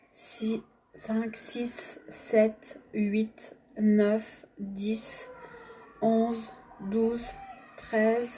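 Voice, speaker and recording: A woman talks very slowly in a fairly high pitch, leaving long, frequent pauses. Her intonation is monotone and flat, with noticeable background noise. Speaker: energy healing facilitator. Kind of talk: guided energy exercise. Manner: stammering at times.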